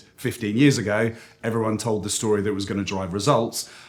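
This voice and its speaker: With a British accent, a man speaks fairly quickly at a medium pitch. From United Kingdom. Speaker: agency CEO. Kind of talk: interview. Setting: industry conference.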